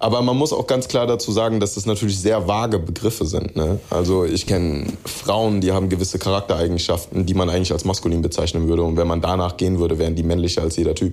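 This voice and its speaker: A man talks very fast with hardly any pauses, his very deep, low pitch showing ordinary variation. His loudness stays very even, and noticeable background noise is present. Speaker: rapper. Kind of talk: interview. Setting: remote call. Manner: mixes in English phrases.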